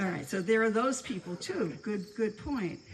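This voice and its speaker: Over noticeable background noise, a woman talks with lively intonation in an American accent. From New York City, the Bronx. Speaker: former community member speaking at anniversary gathering. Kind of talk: informal speech to a gathering. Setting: room with live audience. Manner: halting, with many repeated words.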